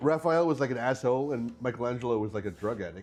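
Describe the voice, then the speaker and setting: Talking at a very fast pace, a man uses a medium pitch and ordinary pitch variation. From English Canada. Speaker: livestream co-host. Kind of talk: casual chat. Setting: live stream.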